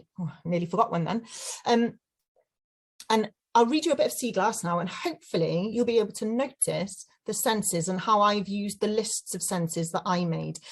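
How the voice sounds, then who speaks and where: A somewhat breathy woman's voice in a South Wales accent, medium in pitch, with lively intonation at a moderate pace. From South Wales (Llantrisant, Rhondda Cynon Taf). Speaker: children's author. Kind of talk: talk to children. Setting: webinar.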